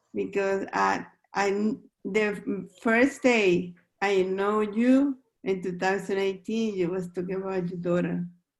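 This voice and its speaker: Speaking at a very slow pace, a woman uses a medium pitch. Her intonation is fairly even. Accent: non-native. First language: not English. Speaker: book club participant. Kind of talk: closing thanks in online group session. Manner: halting.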